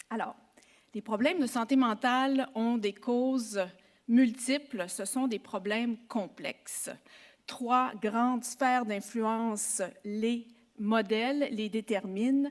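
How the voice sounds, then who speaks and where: A woman's fairly high voice, very slow and fairly even in intonation. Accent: Quebec. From Quebec. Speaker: psychology professor. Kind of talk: conference talk. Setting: symposium with audience. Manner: formal.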